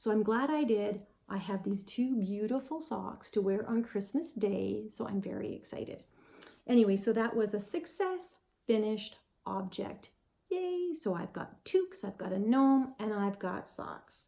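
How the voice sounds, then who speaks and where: A woman's fairly high voice with a Canadian accent, dark and mellow in tone, somewhat breathy, with lively intonation at a moderate pace. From Western Canada. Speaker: knitting podcaster. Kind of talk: casual video podcast monologue. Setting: home video recording on camera.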